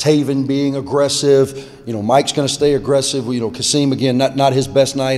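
A man at a fairly quick pace. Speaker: head basketball coach. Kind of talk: interview answer. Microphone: podium.

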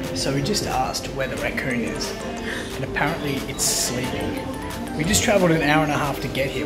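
Loud music plays in the background as a man speaks. His pace is fairly quick and his pitch variation ordinary. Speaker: travel vlogger. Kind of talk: casual vlog chat. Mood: excited, slightly nervous. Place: cafe. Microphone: phone near.

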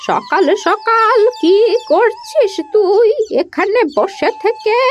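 In a cartoonish character voice, a woman speaks very slowly at an extremely high pitch with ordinary pitch variation while music plays clearly in the background. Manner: fussing, cautionary.

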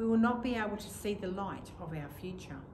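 A woman speaks in a calm, gentle tone at a medium pitch. Noticeable background noise runs underneath. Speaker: vicar leading evening prayer. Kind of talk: fervent intercessory prayer, earnest and pleading, then calm devotional reading. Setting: church service recorded on video. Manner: earnest, reverent, slow and measured; calm, gentle, contemplative.

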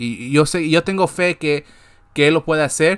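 The background stays quiet while a man talks. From Guatemala. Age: 20s. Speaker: sports podcast host; sports show host. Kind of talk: casual monologue. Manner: halting, with many repetitions. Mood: frustrated but hopeful. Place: home room. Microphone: webcam.

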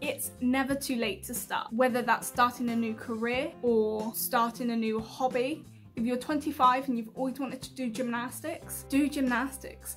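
With a British accent, a woman speaks at a moderate pace in a high pitch with ordinary pitch variation, and faint music plays in the background. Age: 20s. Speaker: YouTuber and health worker. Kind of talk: casual talk to camera. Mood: warm, earnest. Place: home room. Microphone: phone near.

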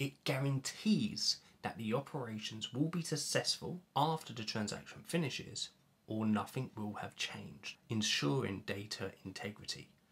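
With vocal fry and lively intonation, a man speaks at a moderate pace. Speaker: software educator. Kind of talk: tutorial. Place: home room.

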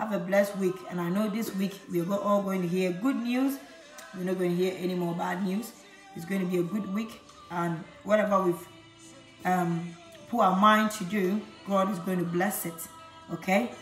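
The speech moves at a moderate pace with fairly even intonation and long, frequent pauses. Audible room echo and faint music sit in the background. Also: woman. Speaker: product seller. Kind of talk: casual vlog chat. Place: kitchen. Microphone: phone near.

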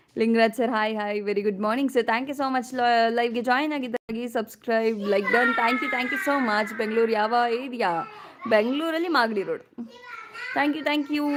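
A woman speaks with a fairly high pitch and ordinary pitch variation. Noticeable background noise runs behind her. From Karnataka, Mysuru region (Hunsur). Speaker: vlogger. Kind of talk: live stream chat with viewers.

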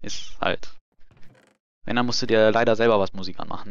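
A man speaks in a fairly low voice. His intonation stays flat and monotone. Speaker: gaming live streamer. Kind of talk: live gameplay commentary. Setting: home streaming setup. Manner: casual, hesitant with many fillers.

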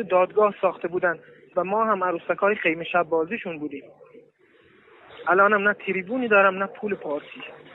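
Amid noticeable background noise, a man speaks very fast at a high pitch with ordinary pitch variation. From Iran. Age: 20s. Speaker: wrestling champion, imprisoned protester. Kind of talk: recorded appeal message. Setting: prison recording.

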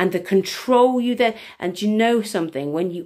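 The speaker's intonation is lively, and the background is quiet. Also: woman. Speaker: EFT tapping coach and workshop leader; coach or wellness teacher. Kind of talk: casual live stream talk. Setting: live video stream. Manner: chatty, rambling with many fillers; warm and effusive. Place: home room. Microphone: phone near.

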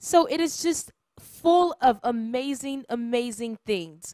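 Lively intonation and an animated tone, in a dry sound with no echo over a quiet background. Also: woman. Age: 20s. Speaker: church program host. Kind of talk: welcome announcements; casual chat. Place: studio. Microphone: handheld.

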